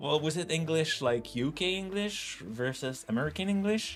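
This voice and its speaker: Over noticeable background noise, a man with a fairly high pitch uses lively intonation at a moderate pace. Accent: French Canadian. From Quebec. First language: French. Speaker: tech streamer, software developer. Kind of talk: live coding stream, casual chat. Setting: livestream. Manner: halting, self-correcting.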